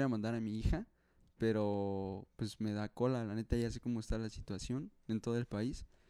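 With a dark, mellow tone, a man speaks at a moderate pace in a monotone, flat intonation. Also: dry, close sound with no echo. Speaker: university student. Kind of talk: casual chat.

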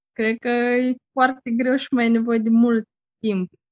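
Speaking at a moderate pace, a woman has an unremarkable speaking voice pitched fairly high. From Moldova. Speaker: interviewee. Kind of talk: casual interview.

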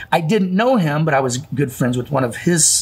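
A man talks at a fairly slow pace with a Midwestern American accent. His intonation is lively. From Illinois, Calhoun County. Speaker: gym owner. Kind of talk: casual chat.

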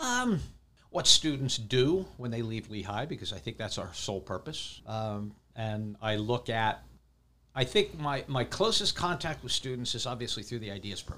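With an American accent, a man speaks at a medium pitch and a moderate pace, his tone bright and sharp and his intonation lively. The recording is very clean, with a silent background. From Pennsylvania, US. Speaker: professor. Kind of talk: casual chat. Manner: talkative.

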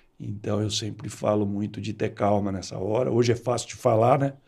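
With a dark, mellow tone and vocal fry, a man speaks at a fairly quick pace. His intonation is fairly even, in a very clean recording with a silent background. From Brazil, rural west of São Paulo state. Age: 60s. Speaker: entrepreneur. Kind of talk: interview.

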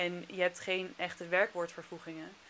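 A woman's fairly low, bright and sharp voice at a moderate pace. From Netherlands. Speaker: former teacher in China. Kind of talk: casual chat.

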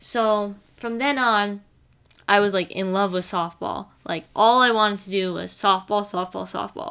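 In an American accent, a woman with an unremarkable speaking voice talks at a fairly slow pace, her medium pitch showing ordinary variation. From New Jersey, US. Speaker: college softball player, podcast host. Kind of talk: casual chat. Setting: home.

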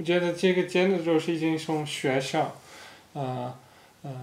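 A high-pitched man with a Dutch accent, at a fairly slow pace and with fairly even intonation, amid audible room echo. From Netherlands. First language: Dutch (speaking Chinese). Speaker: podcast co-host. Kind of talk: casual chat. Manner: halting, many fillers.

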